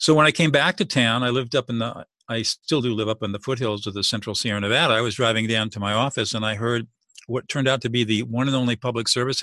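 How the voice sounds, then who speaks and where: Against a quiet background, a man with an American accent speaks very fast in a bright, sharp tone with fairly even intonation. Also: dry, close sound with no echo. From Southern California. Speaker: mediator and author. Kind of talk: interview.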